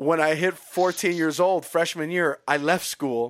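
With an American accent, a man speaks at a moderate pace in a fairly high pitch and an animated tone, recorded very cleanly against a silent background with a dry, close sound and no echo. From Chicago. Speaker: podcast co-host, rapper and pastor. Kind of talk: casual chat.

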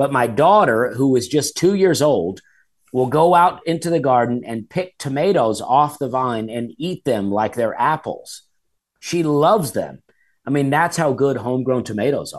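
Someone with an Alabama accent talks at a moderate pace with lively intonation against a quiet background. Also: man, fairly high pitch for a man. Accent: Southern US (Alabama). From Alabama, US South. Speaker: stand-up comedian. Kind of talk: casual chat.

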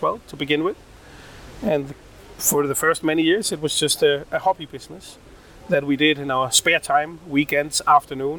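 Someone with a Danish accent talks at a moderate pace over noticeable background noise. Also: man. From Denmark, Odense. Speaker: rum company founder. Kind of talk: interview. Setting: trade fair in Berlin.

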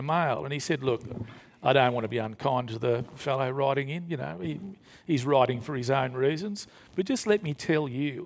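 Speaking in an Australian accent, a man talks at a moderate pace with a fairly high pitch and ordinary pitch variation, on a very clean recording with a silent background. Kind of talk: panel talk before live audience. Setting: stage with audience.

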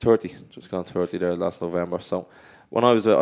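A very deep, low male voice in an Irish accent at a fairly quick pace, on a very clean recording with a silent background. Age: 30s. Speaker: professional footballer. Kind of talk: casual chat. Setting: studio.

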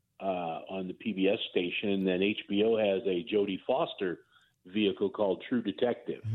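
This man has an unremarkable speaking voice, fairly low in pitch, with fairly even intonation, a moderate pace and very even loudness. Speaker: news correspondent. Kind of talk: news interview. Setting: phone call.

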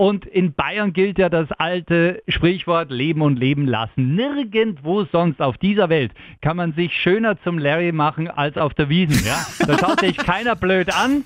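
A high-pitched man with a Bavarian accent talks with lively intonation, very even loudness and hardly any pauses, over noticeable background noise. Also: fairly slow pace. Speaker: radio morning show host. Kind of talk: casual chat. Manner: animated.

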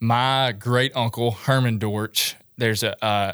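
In a dry, close sound with no echo and a silent background on a very clean recording, a man speaks at medium pitch in a flat, monotone way. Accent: West Tennessee. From West Tennessee. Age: 20s. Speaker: outdoorsman and social media photographer. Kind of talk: casual interview chat.

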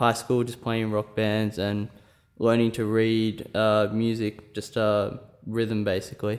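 At a fairly slow pace, a man with an Australian accent speaks at a medium pitch. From rural New South Wales, Australia. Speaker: percussion student. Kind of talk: interview.

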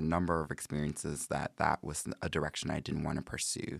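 A man speaks with an American accent at a fairly quick pace, his pitch very deep and low. His tone is bright and sharp, his intonation monotone and flat, and the sound is dry and close with no echo. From Chicago. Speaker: university diversity director. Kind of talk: casual interview. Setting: studio. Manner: hesitant, many fillers.

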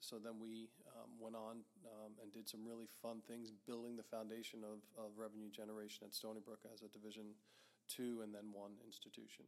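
A man with an American accent speaks at a fairly quick pace. His intonation is monotone and flat. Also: fairly low pitch for a man. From Long Island, New York. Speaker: university athletics director. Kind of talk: interview.

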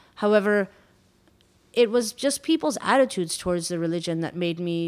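A woman with a fairly low pitch talks at a moderate pace with ordinary pitch variation. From Iran, raised in Quebec, Canada. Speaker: journalist and restaurateur. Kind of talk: reflective interview.

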